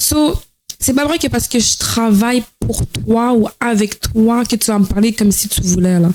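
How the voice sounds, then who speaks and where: The speaker is a woman with a fairly high voice. Her pitch varies in an ordinary way. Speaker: podcast guest, former OnlyFans creator. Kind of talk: personal testimony in casual interview. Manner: fast; energetic.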